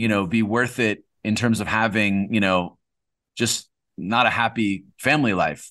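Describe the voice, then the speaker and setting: A man's medium-pitched voice with an American accent, bright and sharp in tone, with fairly even intonation, a moderate pace and a quiet background. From California. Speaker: entrepreneur and investor. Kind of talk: interview. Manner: casual, frequent fillers and repeated words.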